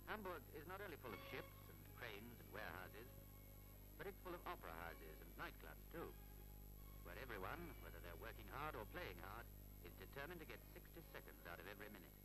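A man talks very quickly while music sounds clearly in the background. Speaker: documentary narrator. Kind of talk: commentary.

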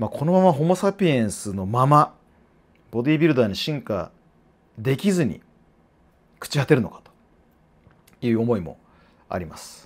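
At a moderate pace, a man with a medium pitch speaks with very wide pitch swings, big swings in loudness and long, frequent pauses. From Japan. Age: 40s. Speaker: fitness trainer and YouTuber; fitness trainer, YouTuber. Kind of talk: casual monologue to camera. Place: office. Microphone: lapel.

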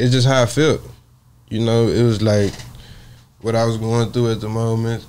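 A man with an American accent speaks at a moderate pace in a monotone, flat intonation, with long, frequent pauses and light background noise. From Port Arthur, Texas; Texas. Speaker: rapper; podcast guest. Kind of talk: interview. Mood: reflective, personal. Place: studio. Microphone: lapel.

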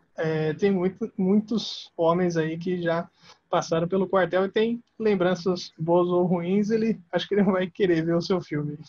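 A man's high voice at a fairly slow pace with fairly even intonation. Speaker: podcast host, army veteran. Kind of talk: casual interview.

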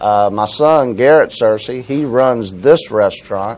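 Talking at a very slow pace, a man with an American accent uses ordinary pitch variation. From Florida, Jacksonville; Florida. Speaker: restaurant owner. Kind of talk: interview. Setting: restaurant. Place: cafe.

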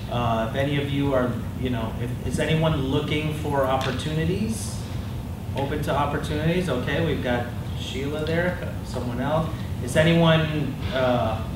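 Loud background noise and audible room echo surround a man speaking at a fairly slow pace. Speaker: meetup host. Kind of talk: event introduction. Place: meeting room. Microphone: camera far.

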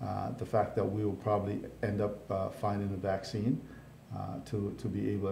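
A man's fairly low, dark and mellow voice, somewhat breathy, with an American accent, audible room echo and light background noise. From Jamaica (Hanover, western parishes); Jamaica. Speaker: county mayor; guest. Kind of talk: casual interview. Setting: live online show. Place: studio.

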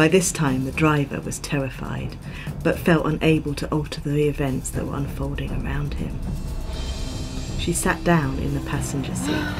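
Over music in the background, a woman speaks at a moderate pace. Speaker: storyteller. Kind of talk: ghost story narration. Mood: calm, eerie storytelling tone. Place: home room.

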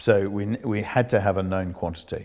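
Speaking with fairly even intonation, a man has a very deep, low pitch. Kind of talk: interview answer. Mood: calm, reflective. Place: home room. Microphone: lapel.

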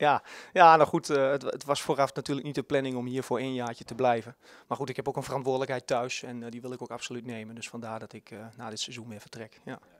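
A man with a Twente accent at a very fast pace, medium pitch and fairly even intonation, dry with no echo over a quiet background. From Twente, eastern Netherlands; Netherlands. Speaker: youth football coach. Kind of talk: interview. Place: hall. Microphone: handheld.

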